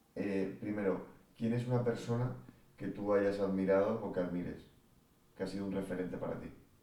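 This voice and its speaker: A fairly low-pitched male voice at a fairly quick pace, broken by long, frequent pauses, with audible room echo. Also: fairly even intonation. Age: 30s. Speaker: podcast host. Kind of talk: interview.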